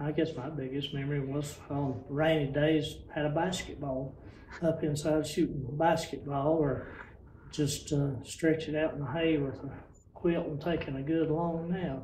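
In an Appalachian accent, a man with a fairly high pitch speaks fairly slowly in a monotone, flat delivery, with audible room echo and light background noise. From western North Carolina mountains. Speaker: retired rural mail carrier. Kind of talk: oral history interview answer. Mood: warm nostalgic reminiscing. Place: hall.

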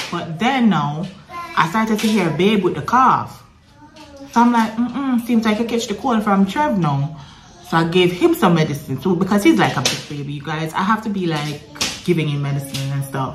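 Clear music sits in the background. Over it, a woman speaks with a fairly low pitch. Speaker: mother vlogger. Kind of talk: casual vlog chat. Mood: relaxed, chatty storytelling. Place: home room. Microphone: phone near.

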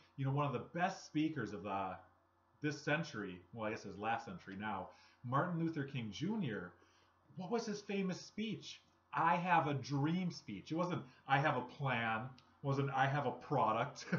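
Pitched fairly high, a man speaks at a moderate pace with very wide pitch swings and audible room echo. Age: 30s. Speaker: network marketing vlogger. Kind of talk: motivational talk to camera. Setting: home recording. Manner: casual, conversational. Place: home room. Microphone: webcam.

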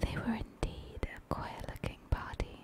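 The speech is whispered and very slow. Noticeable background noise sits beneath it. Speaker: ASMR creator. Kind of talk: bedtime story reading. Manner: soft-spoken.

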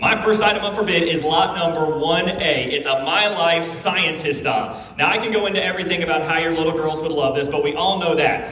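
Amid light background noise and audible room echo, a man talks with hardly any pauses. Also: ordinary pitch variation, fairly quick pace. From Virginia, US. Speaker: auctioneer. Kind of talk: auctioneer competition bid calling. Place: hall.

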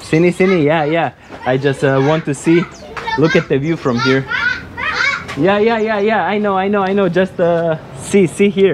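Against crowd noise in the background, a man talks at a moderate pace with ordinary pitch variation and long, frequent pauses. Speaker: travel vlogger. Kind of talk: casual vlog chat. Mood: cheerful, relaxed. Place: street. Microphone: phone near.

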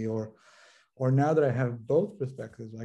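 A man with an American accent talks at a fairly quick pace in a dark, mellow tone. His intonation is fairly even over a quiet background. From Los Angeles, US. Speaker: social work professor and consultant; social work professor. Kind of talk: interview conversation. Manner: halting, many fillers and repetitions. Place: home room. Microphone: video call.

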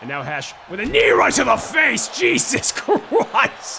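A man speaks over noticeable background noise. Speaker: wrestling commentator. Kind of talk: wrestling commentary. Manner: excitable.

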